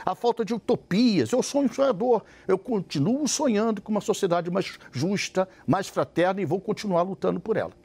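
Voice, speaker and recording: A man's high-pitched voice, lively in intonation, at a moderate pace with hardly any pauses, in a dry, close sound with no echo. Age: 60s. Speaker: party president. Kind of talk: televised debate.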